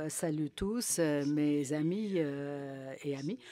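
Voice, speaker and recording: A man with a fairly high pitch speaks at a very slow pace with ordinary pitch variation. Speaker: civic association president. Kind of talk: panel discussion talk. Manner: halting, many hesitations.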